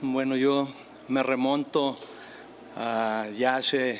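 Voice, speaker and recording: Flat, monotone intonation from a man, with noticeable background noise behind him. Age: 60s. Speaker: tennis figure. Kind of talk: interview.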